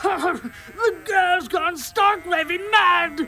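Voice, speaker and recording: Someone performs a put-on character voice at an extremely high pitch, with clear background noise. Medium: audio drama. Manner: pompous, blustering.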